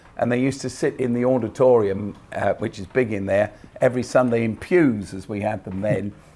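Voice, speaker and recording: The voice carries a southern English accent. It moves at a moderate pace with ordinary pitch variation. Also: man. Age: 60s. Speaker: pastor. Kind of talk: interview. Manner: hesitant, many fillers.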